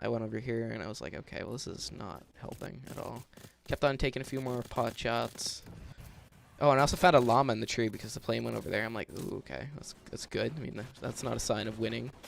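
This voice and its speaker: A man at medium pitch, very fast, with vocal fry, ordinary pitch variation and big swings in loudness. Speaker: gaming YouTuber. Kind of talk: gameplay commentary. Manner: casual.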